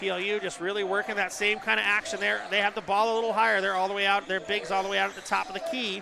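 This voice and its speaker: Raised and projected, a man's high-pitched voice races along at a very fast pace with fairly even intonation. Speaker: play-by-play announcer. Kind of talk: live commentary.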